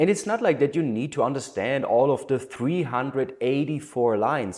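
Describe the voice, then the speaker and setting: A man is heard speaking. The recording is very clean, with a silent background. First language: not English. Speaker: human design teacher. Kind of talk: lecture.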